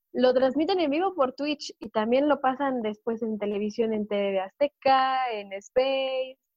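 A woman speaks at a high pitch with ordinary pitch variation. Her pace is fairly slow, with hardly any pauses. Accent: Mexican. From Mexico. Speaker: wrestling correspondent. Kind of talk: casual chat.

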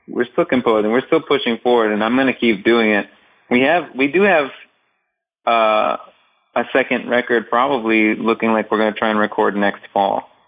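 In a normal speaking voice, a man with an American accent talks at a moderate pace and medium pitch. His pitch varies in an ordinary way, and his loudness stays very even. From Northeast Ohio, US. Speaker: drummer and composer. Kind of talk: casual interview chat.

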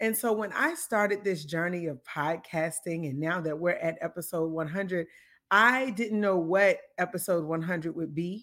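A woman talks at a fairly slow pace with a fairly low pitch, in a normal speaking voice. The recording is very clean with a silent background. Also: ordinary pitch variation. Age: 30s. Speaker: podcast host. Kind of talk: faith-based monologue. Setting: live taping.

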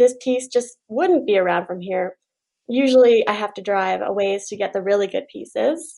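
A woman talks at a moderate pace with a Canadian prairie accent. Her pitch sits fairly high. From Saskatchewan, Canada. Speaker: furniture refinisher. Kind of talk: interview. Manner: animated.

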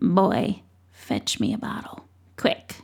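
A woman whispers in a put-on character voice. It sounds wheezy and croaky. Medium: read story. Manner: knowing, mysterious.

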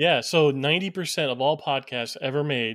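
This is a man with a normal speaking voice and a fairly high pitch. He keeps a moderate pace and fairly even intonation. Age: 30s. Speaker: podcast co-host. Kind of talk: casual podcast interview. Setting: remote recording.

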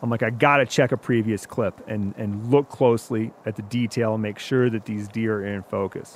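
A man with an American accent has an ordinary speaking voice. He talks at a moderate pace with hardly any pauses and fairly even intonation. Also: medium pitch for a man. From Wisconsin, US. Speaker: outdoor media hunter. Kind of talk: storytelling.

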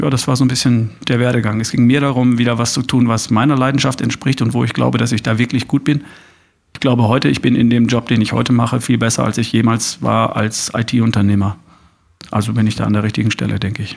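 A man's medium-pitched voice with vocal fry at a very fast pace. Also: fairly even intonation. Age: 50s. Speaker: podcaster and coach. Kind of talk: interview. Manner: hesitant fillers.

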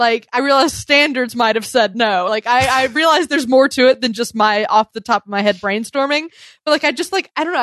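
A woman with an American accent and an unremarkable speaking voice, at a fairly quick pace with ordinary pitch variation, in a dry, close sound with no echo and a quiet background. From US South. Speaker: podcast host. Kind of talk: casual chat. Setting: video call.

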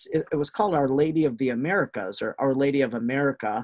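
Lively intonation and a fairly quick pace mark this man's fairly high-pitched voice, with a slight Wisconsin accent. The sound is dry and close, with no echo. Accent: Wisconsin Midwestern, slight. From Wisconsin, US. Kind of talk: casual interview, storytelling.

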